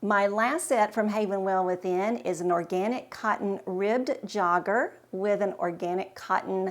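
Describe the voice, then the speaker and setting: With a plain, everyday voice, a woman at a medium pitch talks at a fairly slow pace. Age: 60s. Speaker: fashion vlogger. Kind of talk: casual talk to camera.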